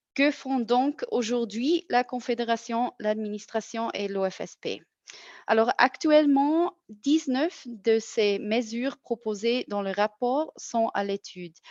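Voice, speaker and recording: A woman with a non-native accent talks at a very slow pace with hardly any pauses, her fairly high pitch showing ordinary variation. The sound is dry and close, with no echo. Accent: non-native French, audible. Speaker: federal health official. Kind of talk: webinar presentation. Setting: online webinar. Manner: halting, frequent self-corrections.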